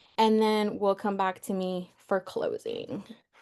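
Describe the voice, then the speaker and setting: Against a quiet background, a woman's voice with a dark, mellow tone moves at a fairly slow pace. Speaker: workshop facilitator. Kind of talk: online workshop hosting; guided stretching instructions.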